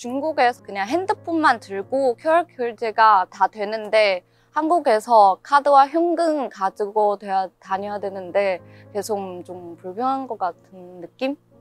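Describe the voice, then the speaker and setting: A woman's fairly high voice at a very slow pace, with very wide pitch swings, a dry, close sound with no echo, and music in the background. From China, Chongqing. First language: Chinese (speaking Korean). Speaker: international university student. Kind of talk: interview.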